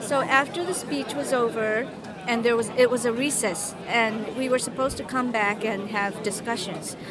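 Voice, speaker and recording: In a Japanese accent, a woman with a fairly high voice speaks at a moderate pace with ordinary pitch variation, audible room echo and crowd noise in the background. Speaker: university student and former translator. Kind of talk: interview.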